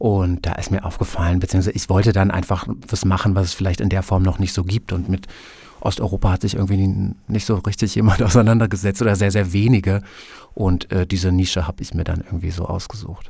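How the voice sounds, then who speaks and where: The delivery is very fast and somewhat breathy. Intonation stays monotone and flat. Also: man, very deep, low pitch for a man. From Germany (Prussia/north-east). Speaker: book blogger. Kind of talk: interview.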